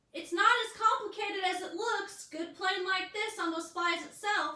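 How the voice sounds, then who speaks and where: A woman's squeaky, put-on character voice, extremely high-pitched with fairly even intonation, at a moderate pace with slight echo. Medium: read story. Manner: casual, plain-spoken.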